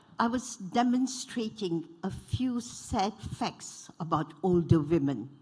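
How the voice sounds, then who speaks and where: Somewhat breathy and dark, mellow in tone, a woman speaks at a fairly low pitch with very wide pitch swings. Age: 80s+. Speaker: panelist, former member of parliament. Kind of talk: panel talk.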